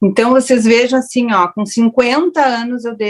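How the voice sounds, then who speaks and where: A woman speaks in a plain, everyday voice. The sound is dry and close, with no echo. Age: 60s. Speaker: raw food educator, panel speaker. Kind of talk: online panel discussion. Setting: online festival panel.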